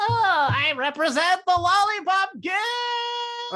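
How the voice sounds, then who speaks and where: A put-on character voice, extremely high in pitch, at a very slow pace. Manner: comical.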